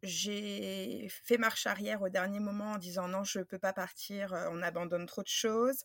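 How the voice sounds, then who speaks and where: In an unremarkable speaking voice, a woman talks at a medium pitch. She goes at a fairly slow pace with fairly even intonation. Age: 30s. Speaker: craft business owner, former teacher. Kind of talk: interview.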